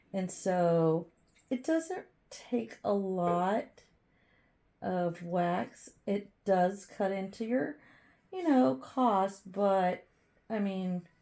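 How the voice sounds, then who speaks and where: Very slow and full of long, frequent pauses, a woman speaks at medium pitch with lively intonation and a dark, mellow tone. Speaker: candle maker and market vendor. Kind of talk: casual vlog tutorial. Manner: hesitant, many fillers.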